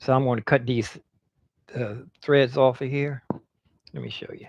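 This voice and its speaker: At a medium pitch, a man talks at a fairly slow pace. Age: 60s. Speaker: semi-retired street performer and livestreamer. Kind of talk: casual live stream chat. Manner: relaxed, meandering.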